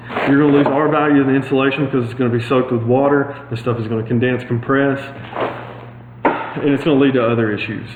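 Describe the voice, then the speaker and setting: Over noticeable background noise and audible room echo, a man talks at a very fast pace with medium pitch and a monotone, flat intonation. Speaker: HVAC installer giving DIY tips. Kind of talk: tutorial.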